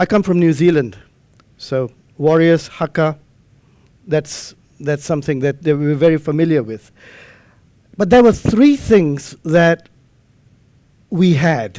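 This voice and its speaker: A man with a non-native accent speaks at a fairly slow pace with long, frequent pauses, his fairly high pitch showing ordinary variation and a dark, mellow tone. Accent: non-native English, trouble pronouncing R. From Malaysia. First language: not English. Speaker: amateur radio lecturer. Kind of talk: conference lecture.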